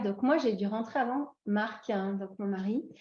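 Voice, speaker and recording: A woman with a dark, mellow tone talks at a moderate pace, her intonation fairly even. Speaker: expatriate interviewee. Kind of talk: podcast interview. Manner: hesitant, many fillers.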